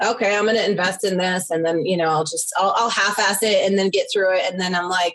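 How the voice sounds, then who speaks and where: A woman's voice with a New York accent. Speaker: yoga business owner, former client. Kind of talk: interview testimony. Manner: loud; animated.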